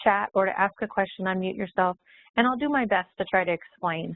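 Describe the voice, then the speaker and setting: A woman's ordinary speaking voice, medium in pitch, at a moderate pace. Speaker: software trainer. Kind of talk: webinar presentation.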